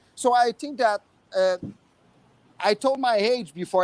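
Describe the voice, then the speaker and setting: A man with a strong French Canadian accent, very wide pitch swings and a moderate pace, in a dry, close sound with no echo. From Quebec, Montreal. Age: 50s. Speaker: expat resident. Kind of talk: casual panel chat. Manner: halting, many fillers.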